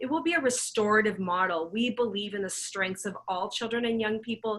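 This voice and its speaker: Her voice is an unremarkable speaking voice, as this woman talks at a medium pitch and a moderate pace with ordinary pitch variation. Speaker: children's charity representative. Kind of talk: presentation.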